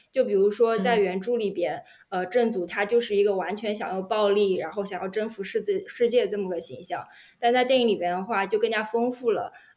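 Using a normal speaking voice, a woman talks fairly quickly at medium pitch with ordinary pitch variation. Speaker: podcast co-host, data journalist. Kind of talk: casual chat.

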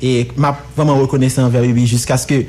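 Moderate pace over noticeable background noise. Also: man. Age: 20s. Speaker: fashion critic. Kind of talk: casual interview chat.

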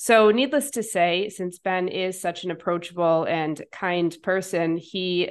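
In a normal speaking voice, someone talks at a fairly slow pace with fairly even intonation against a quiet background. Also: woman. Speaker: podcast host and coach. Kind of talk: interview.

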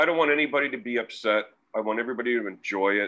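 Here a man speaks with a Canadian accent at a fairly quick pace. His pitch is medium, with ordinary variation. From Canada, Ontario (Peterborough). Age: 50s. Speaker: sausage maker and expat business owner. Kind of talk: casual interview.

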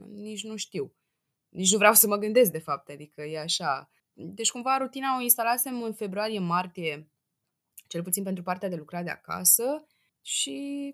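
In an ordinary speaking voice, a woman talks at a moderate pace and medium pitch with lively intonation and big swings in loudness against a quiet background. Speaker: podcast guest. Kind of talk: casual chat.

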